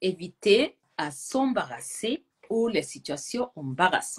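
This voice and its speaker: A woman with a non-native accent speaks at a very slow pace and a fairly high pitch. Her voice has vocal fry and very wide pitch swings. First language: not French (speaking French). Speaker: language teacher. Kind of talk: live video chat.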